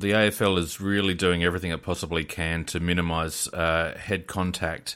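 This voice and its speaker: A man with an Australian accent speaks in a very deep, low pitch, his bright, sharp tone held to a monotone, flat intonation. The pace is fairly slow, and the recording is very clean with a silent background. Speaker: technical producer and co-host. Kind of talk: casual sports chat.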